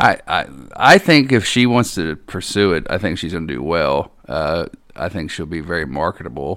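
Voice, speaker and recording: A man with a very deep, low voice, vocal fry and lively intonation, at a moderate pace, on a very clean recording with a silent background. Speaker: drag racer. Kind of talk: casual chat. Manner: halting.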